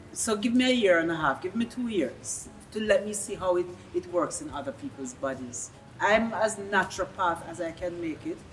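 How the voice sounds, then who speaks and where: A woman speaks with lively intonation as music plays in the background. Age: 60s. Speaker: interviewee. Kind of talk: interview.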